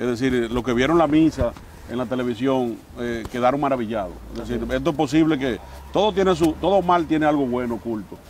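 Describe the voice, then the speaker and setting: A man's fairly quick, lively speech, dry with no echo, over light background noise. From Dominican Republic. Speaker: mayor and politician; mayor, politician. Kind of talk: interview. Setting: outdoors in front of the basilica. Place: garden. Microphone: lapel.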